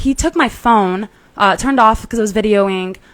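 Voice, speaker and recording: Loud and at a fairly high pitch, a woman speaks at a fairly slow pace. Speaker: podcast host, Marine Corps veteran. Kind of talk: personal story on a podcast. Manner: runs words together.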